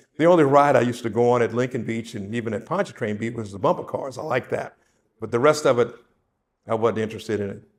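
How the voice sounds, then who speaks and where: Speaking at a very fast pace with a New Orleans accent, a man uses medium pitch and ordinary pitch variation. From New Orleans, Seventh Ward. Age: 70s. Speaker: interviewee sharing memories. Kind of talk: oral history interview.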